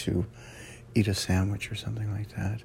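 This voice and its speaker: Vocal fry runs through speech at a moderate pace with fairly even intonation. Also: man. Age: 50s. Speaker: first aid instructor and podcast host. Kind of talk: casual solo podcast talk. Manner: halting, many fillers.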